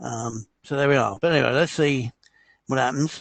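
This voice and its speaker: A man speaks at a moderate pace with a fairly high pitch, vocal fry and fairly even intonation. The sound is dry and close with no echo. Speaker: live stream host. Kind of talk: live stream monologue. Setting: live stream. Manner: hesitant, many fillers.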